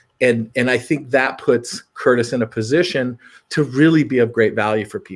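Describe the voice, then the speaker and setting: In a very clean recording with a silent background, a man speaks in a normal speaking voice with an American accent. His pitch is medium, his pace moderate and his pitch variation ordinary. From Montana, rural US. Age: 60s. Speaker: rehab center owner. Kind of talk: casual chat.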